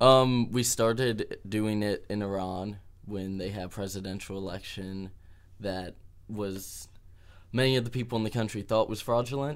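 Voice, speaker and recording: With an ordinary speaking voice, a man talks at a moderate pace, his pitch fairly low and his intonation fairly even. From US Midwest, Dayton, Ohio. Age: 20s. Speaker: activist and street musician. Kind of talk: interview.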